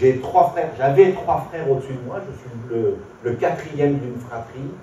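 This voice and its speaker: Over noticeable background noise and audible room echo, a man talks at a moderate pace with a medium pitch and ordinary pitch variation. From southern France (Orange, Provence), later Paris. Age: 60s. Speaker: visually impaired speaker giving faith testimony. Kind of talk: testimony. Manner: hesitant, with frequent fillers.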